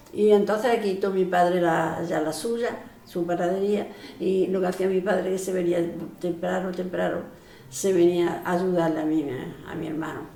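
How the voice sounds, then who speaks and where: A woman at a medium pitch, with fairly even intonation and a moderate pace, amid audible room echo and noticeable background noise. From Andalusia, northern Córdoba province (rural village). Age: 80s+. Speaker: elderly villager sharing memories. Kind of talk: oral history interview. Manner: halting, many false starts and repetitions.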